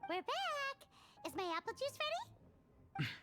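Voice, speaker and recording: A squeaky, put-on character voice talks at a moderate pace. Its pitch is extremely high. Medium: video game. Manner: excitable, chirpy.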